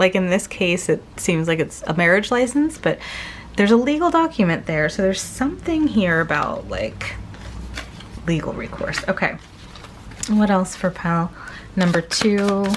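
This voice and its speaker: Amid noticeable background noise, a woman at a medium pitch talks at a moderate pace with lively intonation. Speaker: tarot reader. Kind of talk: pick-a-card tarot reading. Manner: casual, filler-heavy.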